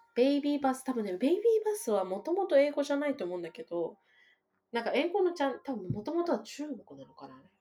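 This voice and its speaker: A woman speaks at a very fast pace and a high pitch. Her loudness swings a lot, and her pitch swings very widely. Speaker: mother raising bilingual children. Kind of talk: casual chat. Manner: not a fast talker.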